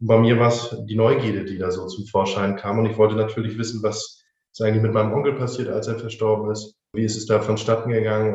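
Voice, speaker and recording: Speaking at a fairly quick pace, a man with a medium pitch sounds somewhat breathy. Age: 20s. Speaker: funeral director. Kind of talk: interview.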